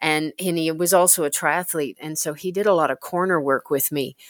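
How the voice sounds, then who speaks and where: Recorded very cleanly against a silent background with a dry, close sound with no echo, a woman with a fairly low pitch and ordinary pitch variation speaks in a plain, everyday voice. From Canada. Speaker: paracyclist. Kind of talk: interview.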